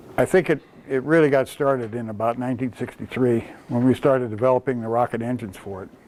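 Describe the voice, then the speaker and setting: Speaking very fast with an American accent, a man of medium pitch keeps a fairly even intonation while his loudness swings widely. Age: 70s. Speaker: retired rocket engineer. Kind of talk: talk to children's group. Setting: presentation to Cub Scouts. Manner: hesitant, many fillers.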